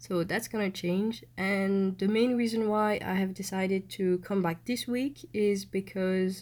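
A woman with a French accent speaks fairly slowly at a medium pitch, using ordinary pitch variation. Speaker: podcaster. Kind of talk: casual monologue.

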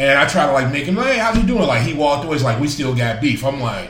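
Audible room echo surrounds a fairly bright voice that moves fast with lively intonation. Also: man, medium pitch for a man.

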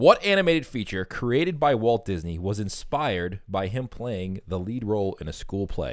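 Recorded very cleanly with a silent background, a man with a plain, everyday voice speaks at medium pitch and a moderate pace with lively intonation. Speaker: podcast host. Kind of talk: casual chat. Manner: jokey, casual.

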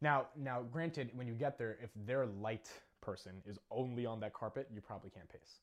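A man at medium pitch, an unremarkable speaking voice, ordinary pitch variation, moderate pace. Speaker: speech coach. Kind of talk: coaching session.

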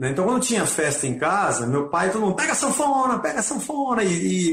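A man's high-pitched voice, fairly quick, with very wide pitch swings and audible room echo. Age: 50s. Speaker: rock musician. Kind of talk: casual interview.

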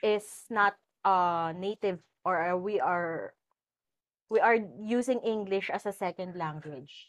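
A woman with a Filipino accent speaks with ordinary pitch variation and long, frequent pauses. The background is quiet. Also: medium pitch for a woman, fairly slow pace. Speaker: podcast host. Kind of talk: casual interview chat. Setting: indoors at home.

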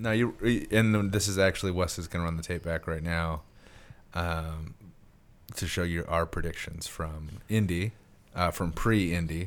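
A man with a very deep, low pitch talks with fairly even intonation. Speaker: podcast host and magazine publisher. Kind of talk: casual chat. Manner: hesitant, many fillers.

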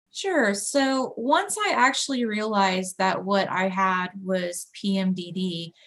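Here a woman has an ordinary speaking voice, medium in pitch, with ordinary pitch variation. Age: 30s. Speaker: peer support specialist and graphic designer. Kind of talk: casual interview.

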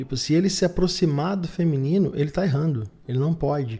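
The voice has a dark, mellow tone and is somewhat breathy. Its pitch varies in an ordinary way at a fairly quick pace. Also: man. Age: 30s. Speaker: podcast host. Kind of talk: solo monologue podcast. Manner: halting with frequent fillers.

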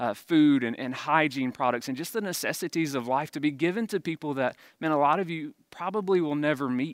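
On a very clean recording with a silent background and a dry, close sound without echo, a man with a Mississippi accent speaks at a fairly high pitch. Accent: Southern US (Mississippi). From Jones County, Mississippi. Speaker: campus pastor. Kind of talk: sermon.

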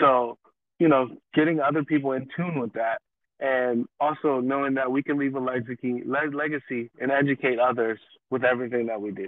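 This man has a plain, everyday voice at a medium pitch. He speaks at a fairly quick pace with fairly even intonation. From Los Angeles, California (Pasadena). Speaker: media founder, filmmaker and photographer. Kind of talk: casual interview chat.

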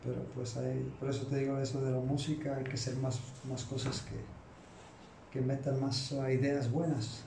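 A man's medium-pitched, monotone voice with flat intonation, audible room echo, and noticeable background noise. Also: fairly slow pace. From Chicago, USA. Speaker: podcast guest. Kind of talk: casual chat.

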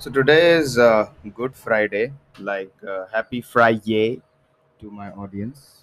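At a very slow pace, a man talks at a medium pitch with ordinary pitch variation and big swings in loudness. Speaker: podcast host. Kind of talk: casual solo podcast monologue. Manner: drowsy.

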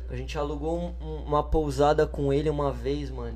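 The voice is somewhat breathy and dark and mellow, delivered at a fairly quick pace with flat, monotone intonation and audible room echo. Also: man. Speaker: musician. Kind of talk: casual chat. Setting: studio.

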